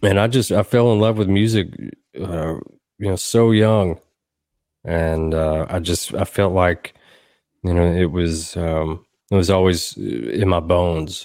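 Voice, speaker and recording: In a Tennessee accent, the speaker goes at a fairly slow pace with long, frequent pauses and ordinary pitch variation, on a very clean recording with a silent background. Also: man, very deep, low pitch for a man. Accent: Southern US (Tennessee). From US South, Southern Middle Tennessee. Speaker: songwriter and producer. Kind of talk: casual interview.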